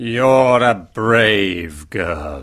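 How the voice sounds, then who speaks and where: A man puts on a character voice at a fairly low pitch. The recording is very clean, with a silent background. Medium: read story. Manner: stern, severe.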